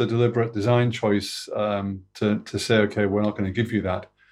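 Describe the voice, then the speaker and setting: This man has an unremarkable speaking voice of medium pitch, talking at a fairly quick pace with fairly even intonation over a quiet background. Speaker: podcast co-host. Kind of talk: casual chat. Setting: video call.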